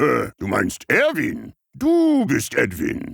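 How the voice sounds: At a very slow pace, a man speaks in a cartoonish character voice pitched extremely high.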